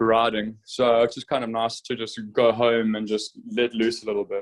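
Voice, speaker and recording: The voice carries a South African accent and moves at a moderate pace. Its intonation is monotone and flat. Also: man, medium pitch for a man. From South Africa, Durban. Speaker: motorcycle racer. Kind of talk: interview. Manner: halting, many fillers.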